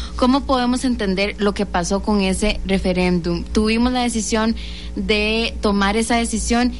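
In a Costa Rican accent, a woman speaks through audible room echo and noticeable background noise. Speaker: youth radio host. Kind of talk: radio interview and talk show.

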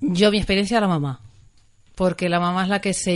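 Against a quiet background, a woman with a Canarian accent talks at a fairly quick pace. Her intonation stays fairly even. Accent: warm Canarian. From Canary Islands (Tenerife). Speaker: family therapist and maternity coach. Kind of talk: radio interview.

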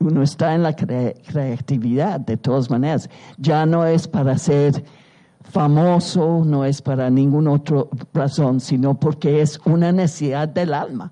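A woman speaks at a very deep, low pitch with a dark, mellow tone. Her pace is fairly slow, her intonation fairly even and her loudness very even. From England, London. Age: 80s+. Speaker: artist and writer. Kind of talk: public conversation. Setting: stage with audience.

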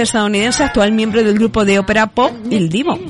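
Over noticeable background noise, a woman with a fairly high pitch talks at a fairly quick pace. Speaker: local radio host. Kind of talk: radio chronicle of past events with music.

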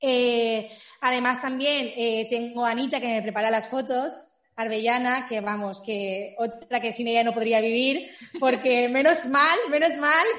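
A woman's high voice with ordinary pitch variation, a fairly slow pace and audible room echo. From Spain, Valencia area. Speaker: small business owner, cake maker. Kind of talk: casual interview.

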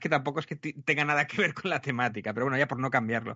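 This is a man talking. His pace is very fast. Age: 40s. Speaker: podcaster and youtuber. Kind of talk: interview.

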